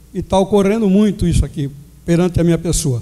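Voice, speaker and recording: A high-pitched man at a fairly quick pace, with ordinary pitch variation and noticeable background noise. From Jaú, São Paulo state, Brazil. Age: 60s. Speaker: mayoral candidate. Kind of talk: political debate opening statement. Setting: amphitheater debate with audience.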